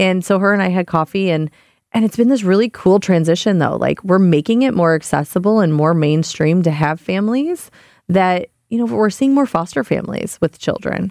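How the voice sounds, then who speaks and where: This woman has a normal speaking voice at medium pitch, talking at a fairly quick pace with very even loudness. The recording is very clean with a silent background, and the sound is dry and close with no echo. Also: lively intonation. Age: 30s. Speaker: animal welfare nonprofit director. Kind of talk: casual chat.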